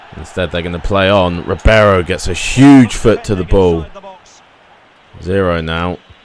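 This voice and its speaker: Noticeable background noise beneath ordinary pitch variation. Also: man. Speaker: gaming youtuber. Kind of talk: gameplay commentary. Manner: stuttering.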